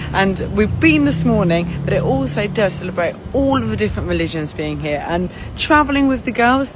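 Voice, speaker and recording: With a British accent, a woman talks at a fairly quick pace amid noticeable background noise and audible room echo. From United Kingdom. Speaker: family travel vlogger. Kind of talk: travel vlog.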